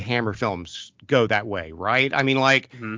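This man talks at a moderate pace. He has an American accent. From US Midwest, southern Ohio. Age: 40s. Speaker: pastor and horror podcast co-host. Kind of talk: casual chat.

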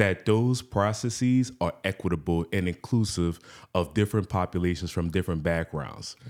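On a very clean recording with a silent background, a man speaks at a moderate pace with a very deep, low pitch. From New Orleans, Louisiana. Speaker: pharmaceutical scientist and executive. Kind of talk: casual interview.

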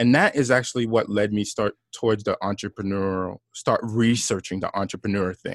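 In a normal speaking voice with an American accent, a man talks at a fairly low pitch and fairly quick pace with hardly any pauses, the sound dry and close with no echo over a quiet background. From New York (Brooklyn, Long Island), Haitian parents. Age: 40s. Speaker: entrepreneur, former corporate employee. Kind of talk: interview conversation.

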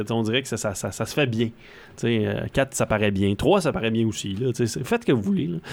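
An unremarkable speaking voice from a man, medium in pitch with ordinary pitch variation, moves at a moderate pace. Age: 30s. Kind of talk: casual chat.

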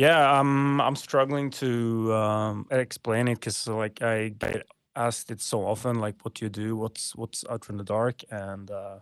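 At a moderate pace and medium pitch, a man speaks over a quiet background. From Norway. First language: Norwegian. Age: 30s. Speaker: clothing company founder. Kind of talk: casual interview. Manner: halting, many fillers.

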